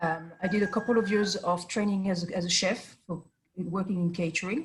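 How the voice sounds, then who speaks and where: A woman with a French accent, medium pitch and ordinary pitch variation, at a moderate pace. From France. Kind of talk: interview. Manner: hesitant, many fillers.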